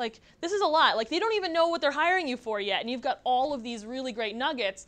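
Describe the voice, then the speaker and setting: An animated, very fast delivery with very wide pitch swings, in an American accent. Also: woman. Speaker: workshop presenter, LinkedIn trainer. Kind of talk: workshop presentation with audience feedback. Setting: room with small live audience. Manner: animated, casual.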